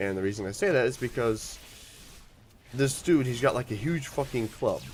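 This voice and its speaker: A man at a moderate pace, music in the background. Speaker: gaming YouTuber. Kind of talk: gameplay commentary.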